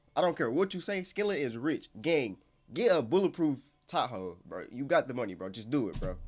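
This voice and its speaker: The voice moves at a fairly quick pace with an animated tone, very wide pitch swings and vocal fry. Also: man, fairly high pitch for a man. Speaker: YouTube reaction channel host. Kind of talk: casual reaction commentary. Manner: fast.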